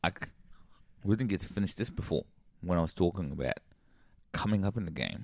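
Speaking at a very fast pace yet with long, frequent pauses, a man uses lively intonation, a very deep, low pitch and vocal fry. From Zimbabwe, raised in Sydney. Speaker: hip hop artist. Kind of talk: casual chat. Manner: animated.

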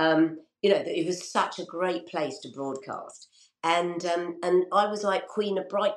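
A woman at a fairly slow pace, an ordinary speaking voice. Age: 60s. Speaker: radio presenter. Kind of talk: interview.

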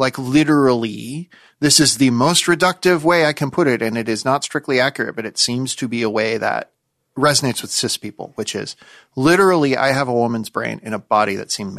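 The sound is dry and close with no echo, against a quiet background, in a normal speaking voice with ordinary pitch variation. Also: man, medium pitch for a man. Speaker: critic and writer. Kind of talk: casual chat.

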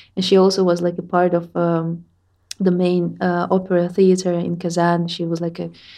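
A woman with a Russian accent, fairly low in pitch, dark and mellow in tone, at a moderate pace with monotone, flat intonation. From Russia, Tatarstan. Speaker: musician. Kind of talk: interview.

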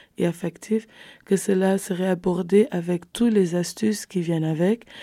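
A woman speaks at a medium pitch in a dark, mellow tone, with fairly even intonation and a fairly slow pace. The recording is very clean with a silent background and a dry, close sound with no echo. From Netherlands (Rotterdam), Cape Verdean family. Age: 20s. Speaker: social work student, youth volunteer. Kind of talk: panel discussion.

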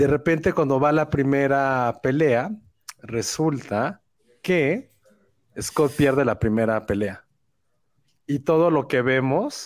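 There is ordinary pitch variation as a man speaks at a medium pitch. The pace is very slow, and the recording is very clean with a silent background. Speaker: film podcast host. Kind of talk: casual chat. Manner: relaxing voice.

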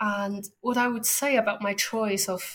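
The speaker has a Chinese accent. The recording is very clean, with a silent background. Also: woman. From Beijing, China. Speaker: artist and ice cream maker. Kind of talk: casual interview conversation.

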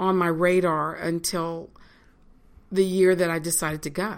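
A woman speaks with a slight Virginia accent on a very clean recording with a silent background. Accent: Southern US (Virginia), slight. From Virginia, US. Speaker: college chaplain and reverend. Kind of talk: casual interview.

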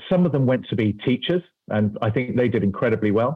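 A man with a British accent speaks at medium pitch and a very fast pace. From UK. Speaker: venture capital investor, former army officer. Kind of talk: interview. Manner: hesitant, repeats words.

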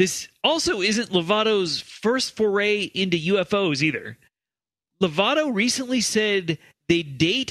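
A man speaks at a fairly slow pace in a raised, projected voice, high-pitched with a bright, sharp tone. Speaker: podcast host. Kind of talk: casual comedy banter.

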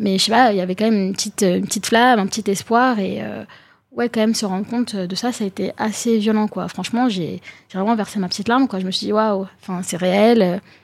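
A woman's medium-pitched voice, very fast in pace, with fairly even intonation. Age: 20s. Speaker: young political activist. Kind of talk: panel discussion.

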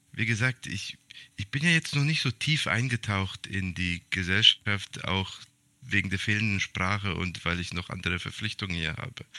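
On a very clean, dry, close recording with a silent background and no echo, a man with a very deep, low pitch and a bright, sharp tone speaks at a fairly slow pace with ordinary pitch variation. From Serbian family, raised in Germany. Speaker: podcast co-host. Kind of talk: casual chat. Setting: room with heater. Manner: hesitant, many fillers.

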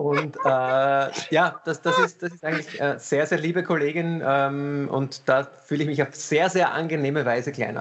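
A man's fairly high-pitched voice comes through with noticeable background noise behind it. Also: fairly even intonation, moderate pace. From Vienna, Austria. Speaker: cabaret comedian and surgeon. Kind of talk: casual chat. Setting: video call.

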